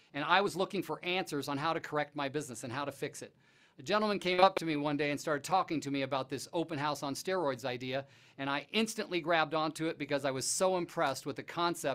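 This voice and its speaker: Rattling along at a very fast pace, a man speaks with ordinary pitch variation. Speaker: real estate coach. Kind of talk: lecture. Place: studio. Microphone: lapel.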